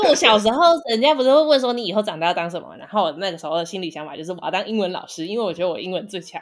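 A woman at medium pitch, very fast with hardly any pauses, lively intonation and big swings in loudness, over music in the background. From Taiwan. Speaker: podcast co-host. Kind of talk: casual chat.

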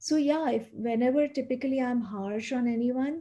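The voice moves at a moderate pace and has a dark, mellow tone. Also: woman. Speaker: life coach. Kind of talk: interview.

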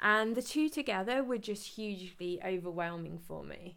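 With an English accent, a woman speaks at a medium pitch. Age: 30s. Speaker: podcast host, personal trainer. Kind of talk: casual monologue.

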